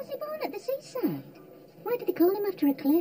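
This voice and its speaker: A squeaky, put-on character voice at a very fast pace, with very wide pitch swings and clear background noise. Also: woman, extremely high pitch for a woman. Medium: short film. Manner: wistful.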